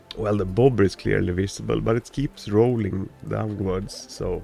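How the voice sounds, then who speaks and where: A man talks at a moderate pace. There is music in the background. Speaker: gaming video creator. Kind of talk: casual gameplay commentary.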